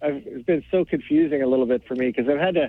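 A man's normal speaking voice, fairly high in pitch, with ordinary pitch variation and a fairly quick pace. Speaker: caller, salesman. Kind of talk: call-in opinion. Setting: phone call.

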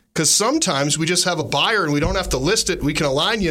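A man speaks at a high pitch in a bright, sharp, animated tone with lively intonation. Room echo is audible. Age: 40s. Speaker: real estate agent, radio show host. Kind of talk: casual radio chat.

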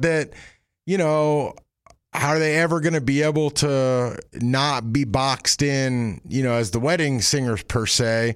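Speaking at a fairly slow pace, a man uses a plain, everyday voice, fairly high in pitch, with ordinary pitch variation. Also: very clean recording, silent background. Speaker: country music podcast host. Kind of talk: casual interview chat. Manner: casual, friendly.

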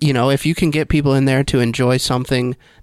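A man's medium-pitched voice, an ordinary speaking voice, with fairly even intonation on a very clean recording with a silent background. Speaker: executive producer. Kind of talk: casual chat. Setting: studio.

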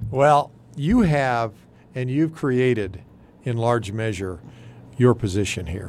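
At a very slow pace, a man with an American accent speaks at medium pitch with lively intonation. Long, frequent pauses break up his speech. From Texas Panhandle. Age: 60s. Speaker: retiring TV general manager. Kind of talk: casual radio interview. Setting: studio.

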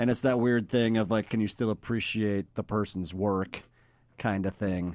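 A man with a plain, everyday voice, fairly low pitch, very even loudness, a moderate pace and fairly even intonation, in a dry, close sound with no echo. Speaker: filmmaker. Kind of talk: casual chat.

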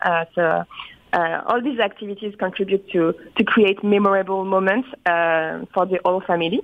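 A woman with a French accent, medium pitch, fairly even intonation and a moderate pace. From France. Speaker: resort company PR manager. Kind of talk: interview. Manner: halting.

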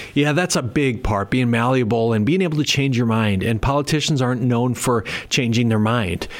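A man with an American accent uses an ordinary speaking voice at a medium pitch with ordinary pitch variation. He talks at a fairly quick pace with very even loudness. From Minnesota. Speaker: mayor and election candidate. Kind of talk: interview. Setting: studio.

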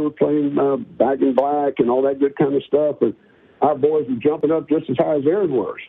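The speaker's pitch varies in an ordinary way at a moderate pace. Behind the voice, music is playing. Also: man. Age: 60s. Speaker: football analyst, former coach. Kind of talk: radio interview. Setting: phone call. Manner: animated, repetitive stammering.

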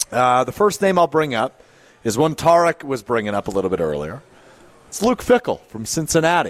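A man's moderate pace with very wide pitch swings. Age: 20s. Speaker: sports radio host. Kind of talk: live sports talk radio. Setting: live broadcast from a pub.

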